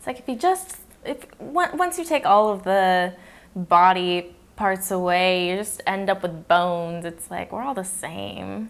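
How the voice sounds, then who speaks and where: This woman speaks at a fairly slow pace in a medium pitch, with ordinary pitch variation and big swings in loudness. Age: 20s. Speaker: podcast host. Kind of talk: casual interview. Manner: talkative, laughs often.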